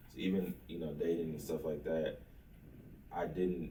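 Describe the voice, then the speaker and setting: In an American accent, a speaker with a dark, mellow, somewhat breathy tone talks at a moderate pace in a flat monotone, with audible room echo. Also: man. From Oklahoma, Lawton. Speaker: entrepreneur. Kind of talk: interview.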